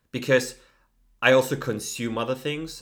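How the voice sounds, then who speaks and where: A man with a German accent, moderate pace and ordinary pitch variation. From Germany. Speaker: podcast co-host. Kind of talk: casual chat.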